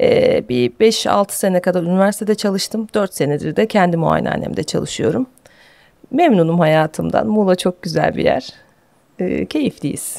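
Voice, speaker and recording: Her pace is moderate. The audio is dry and close-miked, free of any echo. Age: 40s. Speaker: gynecologist. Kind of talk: interview. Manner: hesitant with fillers.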